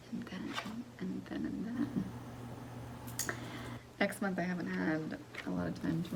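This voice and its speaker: Soft-spoken and very deep in pitch, a woman speaks with very wide pitch swings over noticeable background noise. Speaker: ASMR creator. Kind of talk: casual chit-chat to camera, ASMR.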